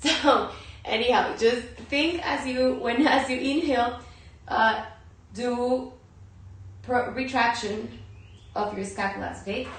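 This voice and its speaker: A high-pitched woman at a fairly slow pace, with ordinary pitch variation and long, frequent pauses, amid audible room echo and noticeable background noise. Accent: Spanish. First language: Spanish. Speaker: yoga and meditation teacher. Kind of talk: guided yoga and breathing instruction. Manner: halting.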